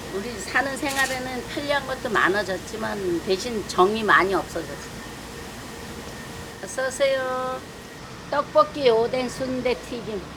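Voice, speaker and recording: Against noticeable background noise, a woman with a high pitch and ordinary pitch variation speaks at a very slow pace with long, frequent pauses. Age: 70s. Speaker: street food shop owner. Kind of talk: interview answer.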